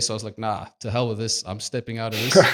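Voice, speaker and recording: There is noticeable background noise as a man speaks with a South African accent. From South Africa, Cape Town. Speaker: video production manager. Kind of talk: podcast interview. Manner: halting.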